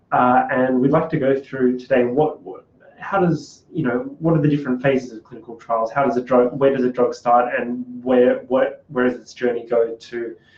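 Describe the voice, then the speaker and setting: With an Australian accent, a man of medium pitch speaks at a moderate pace with hardly any pauses and fairly even intonation, his loudness swinging widely against noticeable background noise. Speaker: podcast co-host, clinical trials worker. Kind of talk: casual podcast chat.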